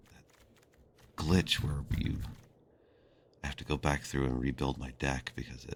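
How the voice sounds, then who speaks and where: A man speaks at a moderate pace in a very deep, low voice with vocal fry and flat, monotone intonation, leaving long, frequent pauses. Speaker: game streamer. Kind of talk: live gameplay stream. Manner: halting.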